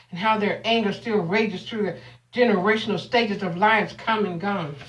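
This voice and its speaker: A woman's medium-pitched voice, fairly quick, with ordinary pitch variation and noticeable background noise. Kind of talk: spoken word poetry performance.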